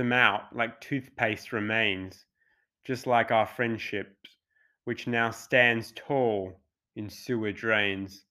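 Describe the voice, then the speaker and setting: A man speaks at a very slow pace in a bright, sharp tone. The recording is very clean, with a silent background. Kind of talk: spoken word poem. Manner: aggrieved, sardonic, with rhythmic rhyming delivery.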